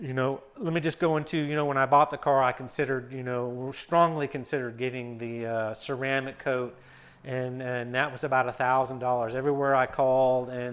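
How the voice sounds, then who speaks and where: A man speaks at a fairly quick pace and medium pitch. His intonation is flat and monotone. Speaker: car vlogger. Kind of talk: casual vlog monologue. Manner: fast; hesitant, many fillers.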